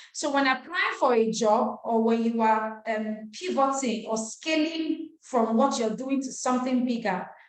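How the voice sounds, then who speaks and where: With audible room echo, a woman talks at a moderate pace in a high pitch with ordinary pitch variation. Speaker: nonprofit trainer. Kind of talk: webinar lecture.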